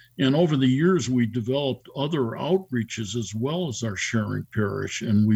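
Against noticeable background noise, a man with an American accent talks at a moderate pace and medium pitch, with ordinary pitch variation. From Chicago North Shore suburbs, US Midwest. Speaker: deacon. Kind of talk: radio interview. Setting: video call.

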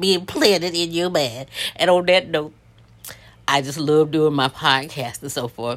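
A woman at a moderate pace in a normal speaking voice. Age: 60s. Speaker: podcaster, retired government employee. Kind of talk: solo casual monologue. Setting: outdoors, early morning. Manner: rambling, chatty with laughs.

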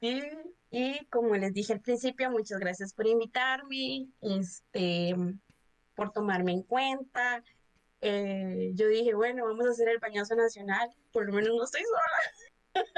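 With a plain, everyday voice and ordinary pitch variation, a woman talks fairly slowly at a fairly high pitch. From Costa Rica, Cartago. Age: 20s. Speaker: podcast guest, HR worker. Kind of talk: casual chat.

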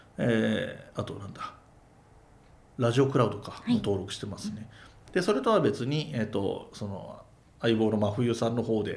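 A man at a moderate pace with long, frequent pauses, big swings in loudness and audible room echo. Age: 40s. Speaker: podcaster and amateur rakugo performer. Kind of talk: casual chat.

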